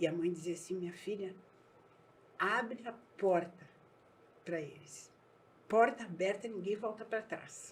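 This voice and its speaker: A woman with a medium pitch and a somewhat breathy voice speaks at a fairly slow pace, with ordinary pitch variation and long, frequent pauses. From southern Brazil, Erechim (Rio Grande do Sul). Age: 60s. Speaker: businesswoman. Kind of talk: podcast interview.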